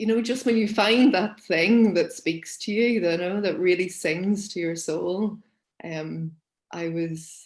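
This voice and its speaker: With a Northern Irish accent, a woman speaks at a very slow pace in a medium pitch with ordinary pitch variation. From Northern Ireland, Belfast. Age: 30s. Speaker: forest school teacher and nature educator. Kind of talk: interview conversation. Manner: hesitant, many fillers.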